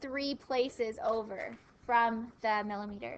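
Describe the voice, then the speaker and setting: In a raised, projected voice, a woman speaks with a bright, sharp tone and ordinary pitch variation. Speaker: math teacher. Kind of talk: classroom lecture. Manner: mumbling.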